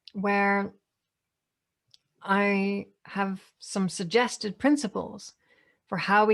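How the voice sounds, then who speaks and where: A woman at a medium pitch is heard in a very clean recording over a silent background. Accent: Northern Irish. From Northern Ireland. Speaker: AI ethics speaker. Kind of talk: Q&A answer.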